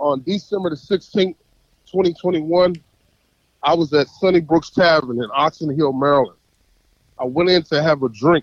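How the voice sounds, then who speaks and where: Animated in tone, a man with a fairly high pitch talks at a moderate pace, using ordinary pitch variation. The sound is dry and close with no echo, and his pauses are long and frequent. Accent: American. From North Carolina. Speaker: caller. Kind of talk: heated call-in commentary.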